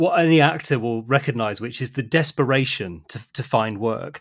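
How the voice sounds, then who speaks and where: Here is a man with a British accent. His voice sits at a medium pitch. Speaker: podcast host. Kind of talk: interview. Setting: remote call.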